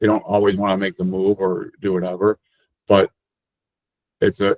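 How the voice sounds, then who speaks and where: A man with a fairly low pitch speaks in a monotone, flat way, the sound dry and close with no echo. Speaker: payment processing sales rep. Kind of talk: webinar presentation. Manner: fast.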